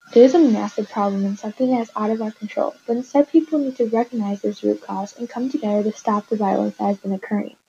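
A woman's fairly high, somewhat breathy voice has a dark, mellow tone and a very fast pace with hardly any pauses. The sound is dry and close, with no echo. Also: ordinary pitch variation. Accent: American. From Chicago, South Side (Hyde Park). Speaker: guest sharing personal experience. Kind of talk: scripted interview.

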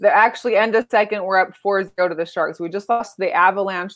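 In an American accent, a woman with an unremarkable speaking voice talks at medium pitch with fairly even intonation. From Las Vegas, Nevada. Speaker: sports podcast co-host. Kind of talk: casual chat. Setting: live stream.

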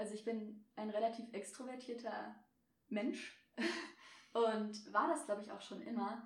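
A woman's fairly slow, somewhat breathy speech at a fairly high pitch, fairly even in intonation, with big swings in loudness, long and frequent pauses, and audible room echo. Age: 20s. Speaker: media student and freelance photographer. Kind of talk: casual interview chat.

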